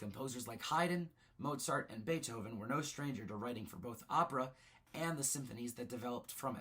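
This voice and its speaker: Bright and sharp, the man's tone stands out. He moves along fairly quickly. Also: medium pitch for a man, ordinary pitch variation. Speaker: student. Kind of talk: class presentation narration.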